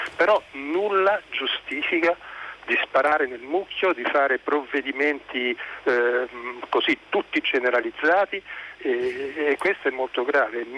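Over noticeable background noise, a man speaks at a fairly slow pace in a dry, close sound with no echo. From Lazio. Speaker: caller, scientist. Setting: phone call.

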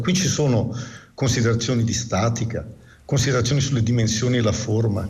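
A man's medium-pitched voice at a very fast pace. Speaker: physics professor. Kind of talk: radio interview.

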